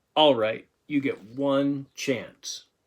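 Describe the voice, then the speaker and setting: A man puts on a character voice, speaking at a fairly high pitch in a flat monotone with audible hissing. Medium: read story. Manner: hissing, smug.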